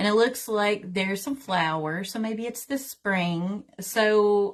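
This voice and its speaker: A woman speaks very slowly with a Southern accent and a medium pitch. Her pitch variation is ordinary, and the background is quiet. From US South, Tennessee. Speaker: tarot reader and teacher. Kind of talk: livestream tutorial. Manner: casual, chatty.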